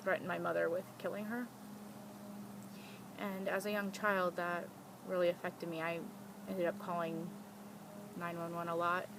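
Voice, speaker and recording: Speaking at a moderate pace with long, frequent pauses, a woman with an American accent keeps a flat, monotone intonation at a fairly low pitch. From US South, Louisiana near New Orleans. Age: 30s. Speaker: vlogger. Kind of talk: personal testimony.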